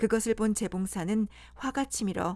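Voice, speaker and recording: The woman here has a fairly high pitch. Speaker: storyteller. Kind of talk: bedtime fairy tale reading. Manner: plain reading without character voices.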